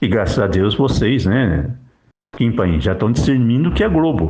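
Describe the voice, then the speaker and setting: This man's voice has vocal fry and very wide pitch swings. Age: 60s. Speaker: lay preacher. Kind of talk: religious monologue. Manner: emphatic.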